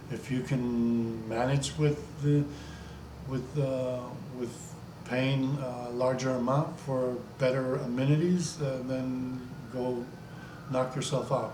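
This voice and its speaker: There is audible room echo and noticeable background noise as a man speaks at medium pitch with fairly even intonation. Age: 60s. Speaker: travel vlogger. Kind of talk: casual monologue vlog. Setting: home video recording with green screen. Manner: halting.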